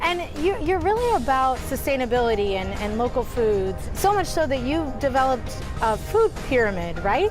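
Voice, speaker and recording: A woman speaks at a high pitch with very wide pitch swings and a moderate pace. Music plays in the background. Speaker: TV reporter and host. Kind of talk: TV interview questions.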